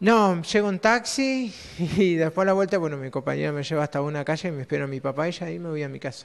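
Lively intonation runs through a man's very fast delivery. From Argentina, Río Negro (Cinco Saltos); Río Negro, Argentina. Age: 30s. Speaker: blind primary school teacher; schoolteacher. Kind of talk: interview; interview answer. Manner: halting, repeats words. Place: classroom. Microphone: handheld.

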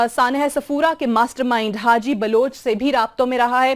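Her pitch is high for a woman, and her intonation is fairly even. The background is quiet. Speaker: news anchor. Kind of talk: news presentation. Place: studio. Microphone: lapel.

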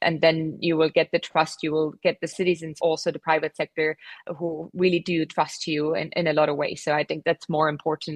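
A woman talks at a fairly quick pace in a very deep, low pitch with vocal fry. The sound is dry and close, with no echo. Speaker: government relations expert. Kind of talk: radio interview. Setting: remote line.

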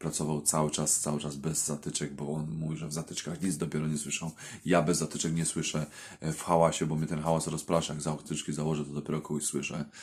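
Very fast and monotone, with flat intonation, a man speaks in a very deep, low pitch. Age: 30s. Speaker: welder and video blogger. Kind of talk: casual vlog talk to viewers. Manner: halting, with many repetitions and fillers.

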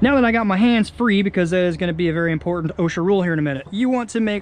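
With ordinary pitch variation, a man speaks in a high pitch. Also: dry sound with no echo. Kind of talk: tutorial. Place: garden. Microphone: phone near.

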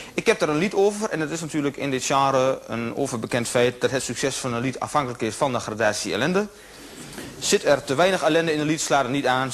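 A man talks at a very fast pace with lively intonation. Light background noise sits underneath. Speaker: stage comedian. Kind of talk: comedy stage monologue. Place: stage.

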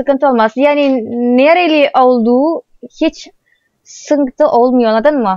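Speaking very slowly in a high voice, a woman with an Indonesian accent shows ordinary pitch variation. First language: Indonesian (speaking Turkish). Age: 20s. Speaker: vlogger. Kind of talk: casual chat; sales pitch.

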